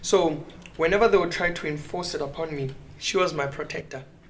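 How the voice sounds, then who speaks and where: The voice belongs to a man. The room echo is audible, and background noise is noticeable. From South Africa, Rustenburg. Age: 20s. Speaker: young pastor. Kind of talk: casual chat.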